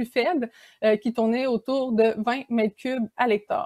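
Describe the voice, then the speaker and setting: In a Quebec accent, a woman speaks at a moderate pace with a fairly high pitch, ordinary pitch variation and a dark, mellow tone, the sound dry with no echo and the background quiet. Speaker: graduate student researcher; presenter. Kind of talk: conference talk. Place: home room. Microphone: webcam.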